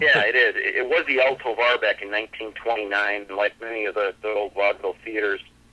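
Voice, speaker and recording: His words come at a very fast pace. The man leaves hardly any pauses between them. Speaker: magic show producer. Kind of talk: interview answer.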